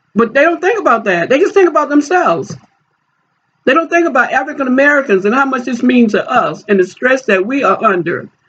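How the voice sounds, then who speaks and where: Her pitch high and swinging very widely, a woman talks fairly quickly at a very even loudness. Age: 60s. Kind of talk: personal appeal video. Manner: halting.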